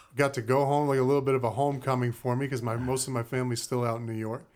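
In an ordinary speaking voice, a man with an American accent talks fairly quickly at medium pitch with fairly even intonation, on a very clean recording with a silent background. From Cape Cod, Massachusetts. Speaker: former football player and preacher. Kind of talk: casual chat.

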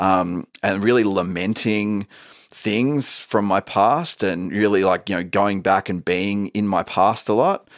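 Recorded very cleanly against a silent background, a man with an Australian accent speaks fairly slowly at a fairly low pitch with ordinary variation, the sound dry and close with no echo. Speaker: musician. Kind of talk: casual chat. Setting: studio.

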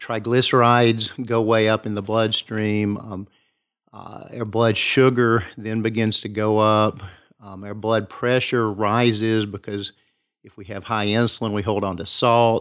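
A man with an East Tennessee accent, fairly low pitch, flat monotone delivery, big swings in loudness and a fairly slow pace. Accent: East Tennessee Southern US. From East Tennessee, Kingsport. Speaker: family physician. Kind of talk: interview.

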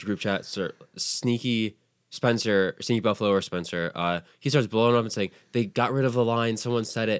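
Ordinary pitch variation runs through this man's medium-pitched voice as he talks at a moderate pace. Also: very clean recording, silent background. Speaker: card game podcaster. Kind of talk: casual chat. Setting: home studio. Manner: loud; animated.

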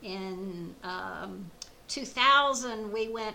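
Audible room echo surrounds a woman who speaks with a Southern US accent at a fairly high pitch with lively intonation. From US South (Louisiana, Georgia). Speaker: motorcyclist. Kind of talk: casual interview.

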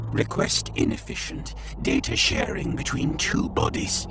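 A man's put-on character voice over loud background noise. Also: moderate pace. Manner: clipped, robotic, terse labels.

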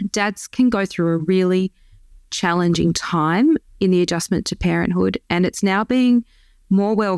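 A woman with an Australian accent speaks at a moderate pace in a dry, close sound with no echo, on a very clean recording with a silent background. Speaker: dietitian and lactation consultant. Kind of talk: interview.

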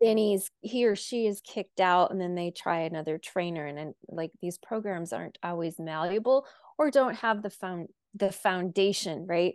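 A normal speaking voice in an American accent, at a moderate pace with ordinary pitch variation and big swings in loudness, dry and close with no echo against a quiet background. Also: woman, medium pitch for a woman. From US Midwest, North Dakota. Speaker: horse trainer and coach. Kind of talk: interview.

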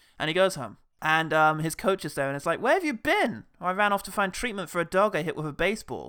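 This man talks at a very fast pace in a raised, projected voice, his high pitch carrying a bright, sharp tone over a very clean recording with a silent background. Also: hardly any pauses. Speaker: film podcast host. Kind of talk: comedic film review chat with bits.

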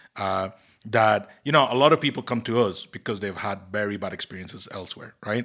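A man's fairly quick, fairly low-pitched speech with a Costa Rican accent, a bright, sharp tone, ordinary pitch variation and big swings in loudness, in a very clean recording with a silent background. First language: Spanish. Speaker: tech company CEO and podcast host. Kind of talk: casual chat. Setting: in an office. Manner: halting.

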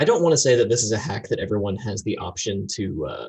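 A man talks at a fairly quick pace with an American accent. His voice is fairly low and somewhat breathy. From Florida, US. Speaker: entrepreneur and photographer. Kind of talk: interview.

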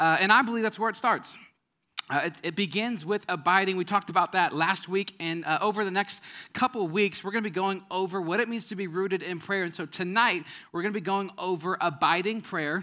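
Raised and projected, a man's voice has an American accent, an animated, bright, sharp tone, high pitch and a fairly quick pace. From Wisconsin. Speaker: pastor. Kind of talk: sermon.

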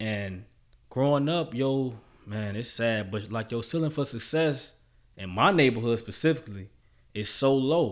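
Here is a man with a normal speaking voice. His intonation is lively. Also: medium pitch for a man, moderate pace, very clean recording, silent background. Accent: American. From Chicago South Side. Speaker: guest sharing life story. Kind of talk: casual interview.

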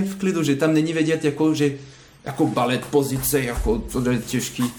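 A man with a French accent speaks at a moderate pace, his fairly high pitch showing ordinary variation. The recording has audible room echo and noticeable background noise. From France. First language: French (speaking Czech). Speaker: ballet dancer. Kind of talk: interview. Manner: halting.

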